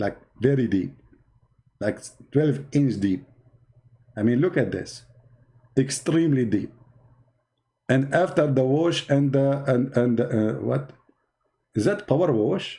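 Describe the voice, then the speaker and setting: A man's dark, mellow voice at a medium pitch, with an Arabic accent, lively intonation, a fairly slow pace and long, frequent pauses. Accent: Arabic accent, non-native English. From Middle East. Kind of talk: polemical monologue. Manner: animated, mocking.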